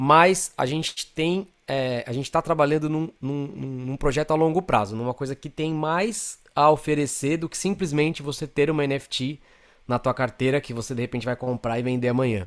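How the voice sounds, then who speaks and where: In a very clean recording with a silent background, an unremarkable speaking voice goes at a moderate pace with ordinary pitch variation and hardly any pauses. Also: man, fairly high pitch for a man. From Brazil, São Paulo. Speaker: creative director and designer. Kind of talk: interview conversation.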